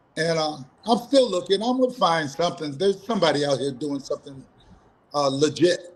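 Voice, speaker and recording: A man talks at a fairly quick pace. His high-pitched voice carries lively intonation. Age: 60s. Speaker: martial arts instructor. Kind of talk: interview. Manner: casual, conversational.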